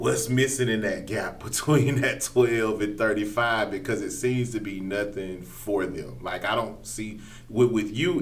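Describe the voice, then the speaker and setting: Ordinary pitch variation at a moderate pace with hardly any pauses, over noticeable background noise. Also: man. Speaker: podcast host. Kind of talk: podcast interview questions.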